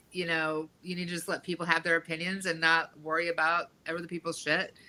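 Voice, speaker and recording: A loud woman's bright, sharp voice, fairly low in pitch, with a monotone, flat intonation and a fairly quick pace. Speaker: podcast guest, performer. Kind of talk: casual interview chat.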